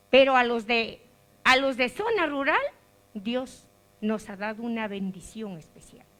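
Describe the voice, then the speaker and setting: Through noticeable background noise, a woman with a fairly high pitch and an animated tone speaks at a fairly slow pace, taking long, frequent pauses, her loudness swinging widely and her pitch varying in an ordinary way. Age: 60s. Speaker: rural preschool teacher. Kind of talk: audience comment.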